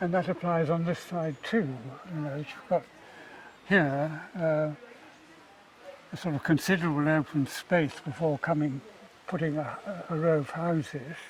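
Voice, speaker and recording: At a moderate pace, a man speaks with a British accent in a fairly high pitch. He takes long, frequent pauses. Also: fairly even intonation. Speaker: architect. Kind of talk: casual chat.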